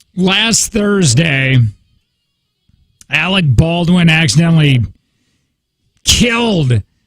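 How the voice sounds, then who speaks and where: Very slow pace with long, frequent pauses over music in the background. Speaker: radio host. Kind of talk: casual chat.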